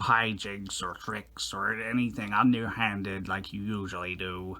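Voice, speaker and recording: In a cartoonish character voice, a man talks at a moderate pace with a fairly low pitch. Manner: blustering, gruff.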